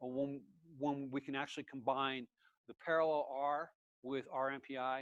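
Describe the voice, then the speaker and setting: Monotone, flat intonation at a moderate pace, broken by long, frequent pauses. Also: man, fairly high pitch for a man. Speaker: workshop instructor. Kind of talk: technical lecture. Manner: hesitant, many fillers.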